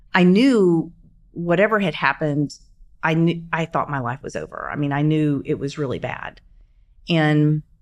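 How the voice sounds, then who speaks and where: A woman's very deep, low voice in an American accent, with ordinary pitch variation, on a very clean recording with a silent background. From US South, Shreveport, Louisiana. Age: 50s. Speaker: bombing survivor and CEO. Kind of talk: interview storytelling. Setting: studio.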